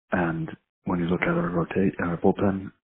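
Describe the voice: Growling and gravelly with a husky, rough edge, a man speaks at a low pitch and a moderate pace with little pitch movement.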